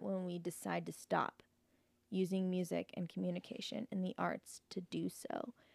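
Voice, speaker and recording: A woman with a normal speaking voice and a medium pitch talks at a fairly slow pace, the sound dry and close with no echo. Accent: American. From Canada, then US (Oklahoma). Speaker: musician. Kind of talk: casual chat.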